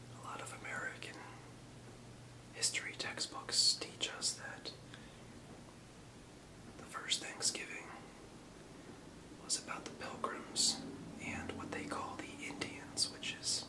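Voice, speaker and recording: Whispering at a fairly slow pace with long, frequent pauses, a man's volume swings widely over noticeable background noise. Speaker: ASMR whisperer. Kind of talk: ASMR whisper history lesson. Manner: whispered, soft-spoken.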